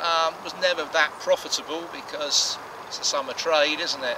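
A man speaks at a moderate pace with ordinary pitch variation, his voice fairly high. Background noise is clearly audible.

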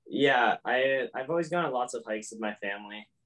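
Over a quiet background, a man talks at a moderate pace with ordinary pitch variation in an unremarkable speaking voice. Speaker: guest. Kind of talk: interview answer. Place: home room. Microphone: video call.

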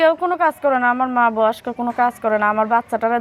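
In a very clean recording with a silent background and a dry, close sound with no echo, a woman talks in a normal speaking voice at a fairly high pitch. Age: 20s. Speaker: domestic worker. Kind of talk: interview. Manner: soft-spoken.

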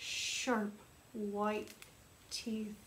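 A woman speaks at a very slow pace with monotone, flat intonation. Room echo is audible. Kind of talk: storytime reading to children. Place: classroom. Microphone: phone near.

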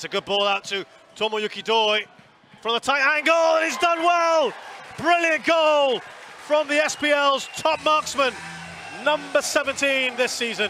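A man's raised, projected voice at an extremely high pitch, fairly slow with lively intonation and long, frequent pauses, over crowd noise in the background. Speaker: football match commentator. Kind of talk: live sports commentary. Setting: stadium commentary. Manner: builds tension then erupts on goals.

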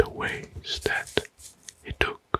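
Whispering and soft-spoken, the voice moves at a very slow pace over light background noise. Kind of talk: informal history talk over a map. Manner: soft ASMR whisper explaining a map.

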